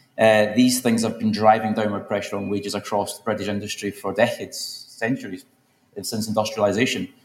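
A man speaks in a Glaswegian accent with fairly low pitch. His intonation is monotone and flat. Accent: Glaswegian Scottish. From Scotland, Glasgow. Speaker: politician. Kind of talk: conference panel talk. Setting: stage with audience.

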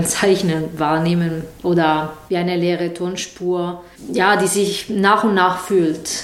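A woman with an Italian accent speaks at a very slow pace and medium pitch, her intonation fairly even. Audible room echo and noticeable background noise fill the recording. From southern Italy, Taranto. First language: Italian (speaking German). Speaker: sound artist. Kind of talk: interview. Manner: halting.

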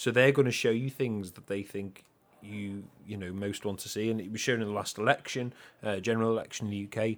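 A man with a Liverpool accent speaks very fast at a fairly low pitch, his intonation fairly even. His loudness swings widely, and the recording is very clean with a silent background. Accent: Scouse (Liverpool). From Liverpool, England. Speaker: podcast co-host. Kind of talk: casual chat.

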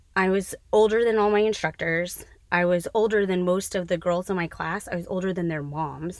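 A woman with an ordinary speaking voice keeps a medium pitch, a moderate pace and fairly even intonation. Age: 40s. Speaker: podcast co-host and cosmetologist. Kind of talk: casual chat.

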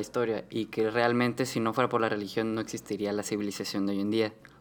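A man at a medium pitch and a fairly quick pace, with monotone, flat intonation and a very clean recording with a silent background. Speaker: podcast co-host. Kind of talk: casual discussion.

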